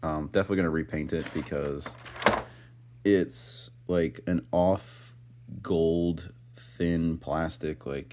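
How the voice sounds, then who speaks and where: With a very deep, low pitch and ordinary pitch variation, a man speaks at a very slow pace. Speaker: toy reviewer. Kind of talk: unboxing review. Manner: casual, filler-heavy.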